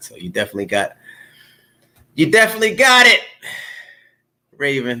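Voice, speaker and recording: A man talks at a fairly quick pace. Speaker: streamer hosting a live channel.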